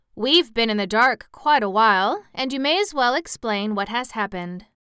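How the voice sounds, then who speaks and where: A woman's fairly high, put-on character voice at a moderate pace, on a very clean recording with a silent background. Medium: read story.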